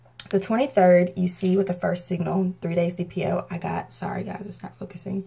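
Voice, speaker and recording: A woman with a dark, mellow tone and vocal fry talks at a fairly quick pace. Her loudness swings widely. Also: medium pitch for a woman, fairly even intonation. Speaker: vlogger. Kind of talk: casual vlog talk. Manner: fast.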